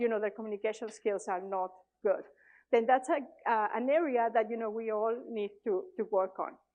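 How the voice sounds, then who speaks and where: Speaking in a Mexican accent, a woman with a fairly high pitch talks at a moderate pace. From Mexico. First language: Spanish. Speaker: conference speaker, tech leader. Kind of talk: conference talk. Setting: stage with audience. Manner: hesitant, many fillers.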